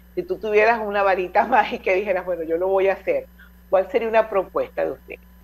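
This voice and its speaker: This woman's speech races along very fast. Her voice is medium in pitch, with fairly even intonation. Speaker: radio host. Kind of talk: radio interview.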